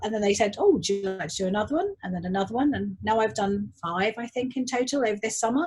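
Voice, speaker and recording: Somewhat breathy female speech, fairly high-pitched, with lively intonation. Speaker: garden designer and tutor. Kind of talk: casual chat. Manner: fast when excited.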